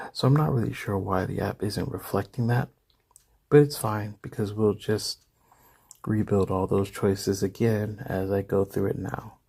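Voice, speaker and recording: Somewhat breathy and dark, mellow in tone, a man speaks at a fairly low pitch and moderate pace with ordinary pitch variation. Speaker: fantasy story narrator. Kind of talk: casual talk to camera. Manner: hesitant, casual.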